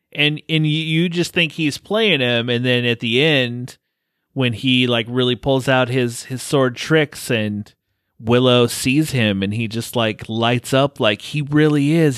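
Speaking at a fairly slow pace, a man in a medium pitch with ordinary pitch variation has a plain, everyday voice, recorded very cleanly against a silent background. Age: 40s. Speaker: film podcast host. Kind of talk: casual chat.

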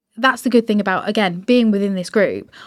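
A woman speaks with a fairly high pitch and an ordinary speaking voice. Her pitch varies in an ordinary way, and the recording is very clean with a silent background. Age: 30s. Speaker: podcast host. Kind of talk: casual interview. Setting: podcast studio in London.

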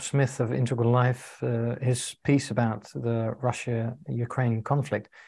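Speaking with a British accent, a man uses a medium pitch and a dark, mellow tone that is somewhat breathy. His pace is fairly slow, and the background is quiet. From UK. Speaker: integral coach, co-interviewer. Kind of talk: casual conversation. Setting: video call.

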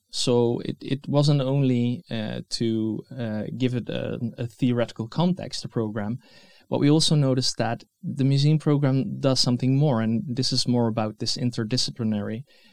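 A man with a Dutch accent speaks at medium pitch with ordinary pitch variation, in a dry, close sound with no echo. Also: moderate pace. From Netherlands. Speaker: museum educator and researcher. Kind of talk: interview. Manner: halting, many fillers.

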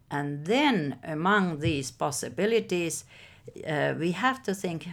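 A woman talks very slowly in a Finnish accent, her pitch fairly low. Her pitch swings very widely. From Finland, Helsinki. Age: 60s. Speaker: professor. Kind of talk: interview. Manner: halting.

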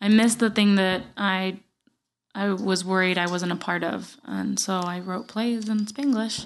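Fairly slow speech in a Puerto Rican accent, with fairly even intonation and a quiet background. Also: woman, medium pitch for a woman. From Puerto Rico (Guaynabo). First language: Spanish. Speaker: podcast host and writer. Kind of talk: casual chat. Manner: laughs often.

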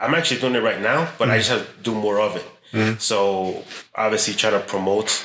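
With noticeable background noise and audible room echo, a man with a fairly low pitch talks at a very fast pace in fairly even intonation. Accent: American. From Chicago. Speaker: metal sculptor. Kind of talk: casual chat. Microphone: poor sound, ambient recording.

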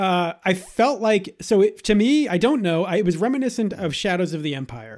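With an American accent, a man speaks at a moderate pace in a high pitch with lively intonation and hardly any pauses. The recording is very clean, with a silent background. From Boston, Massachusetts. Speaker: podcast co-host. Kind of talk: casual chat.

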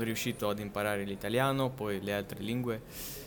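With a Russian accent, a man talks at a moderate pace in a fairly even intonation over noticeable background noise. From Russia, Siberia (Novosibirsk). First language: Russian (speaking Italian). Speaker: polyglot, language content creator. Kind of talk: casual chat. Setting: in person in Milan. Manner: halting.

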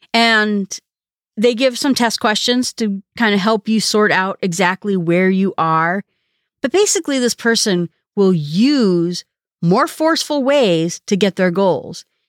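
This woman has an ordinary speaking voice, medium in pitch and lively in intonation, moving at a fairly slow pace with very even loudness, captured in a dry, close sound with no echo on a very clean recording with a silent background. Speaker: podcast host. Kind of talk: solo podcast monologue about a book. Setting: solo podcast episode.

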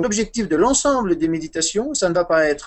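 A man with lively intonation at a moderate pace. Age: 40s. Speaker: Buddhist meditation teacher. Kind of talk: interview about meditation.

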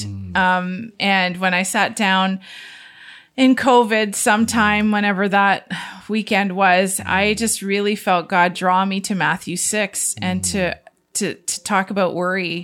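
In a Canadian accent, a woman with a plain, everyday voice speaks at a medium pitch and a fairly slow pace, her intonation fairly even, on a very clean recording with a silent background. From Southern Ontario, Canada. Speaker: author and radio co-host. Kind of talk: storytelling interview.

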